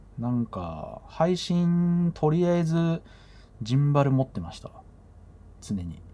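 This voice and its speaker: A man's fairly high voice at a very slow pace, with ordinary pitch variation, big swings in loudness and long, frequent pauses. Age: middle-aged. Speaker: podcast host and DJ. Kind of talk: casual solo talk. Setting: bedroom home recording. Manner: relaxed, filler-heavy.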